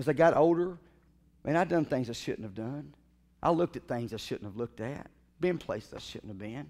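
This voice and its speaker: A man at a fairly quick pace, with long, frequent pauses and big swings in loudness. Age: 40s. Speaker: pastor. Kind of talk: sermon. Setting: church. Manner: animated. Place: church.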